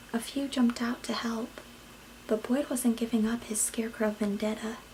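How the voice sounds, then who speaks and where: A soft-spoken woman whispers in a calm tone at a moderate pace. Noticeable background noise runs beneath her. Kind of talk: read story. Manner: whispered.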